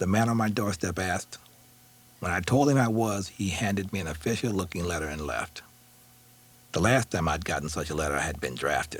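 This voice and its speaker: Long, frequent pauses break up lively intonation delivered with vocal fry. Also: man. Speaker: author reading own memoir. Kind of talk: audiobook memoir reading. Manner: emotionally expressive.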